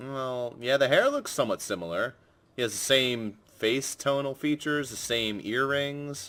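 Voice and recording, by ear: With pitch moving in an ordinary way, the words are read out in a natural voice.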